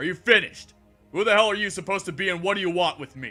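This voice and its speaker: Over faint music in the background, a man uses a put-on character voice, raised and projected, high in pitch and at a very fast pace. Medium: read story. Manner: sardonic, contemptuous.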